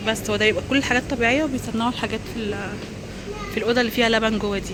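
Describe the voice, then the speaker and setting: A woman with an Alexandrian accent talks very fast in a fairly high, monotone voice with flat intonation, over noticeable background noise and audible room echo. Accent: Egyptian Arabic, Alexandrian. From Egypt, Alexandria. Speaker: vlogger. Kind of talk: vlog walkthrough. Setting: outdoors and supermarket. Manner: casual, with frequent hesitations.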